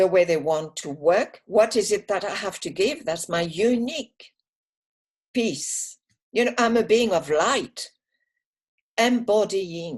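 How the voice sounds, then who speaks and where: A woman's medium-pitched voice with lively intonation, a very slow pace and long, frequent pauses. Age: 70s. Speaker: astrologer and trauma healer. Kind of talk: casual chat.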